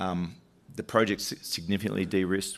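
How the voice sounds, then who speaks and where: A man with an Australian accent talks at a fairly quick pace, his very deep, low pitch carrying vocal fry. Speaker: mining company executive. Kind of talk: investor presentation. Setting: conference stage with audience. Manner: halting, many fillers and restarts.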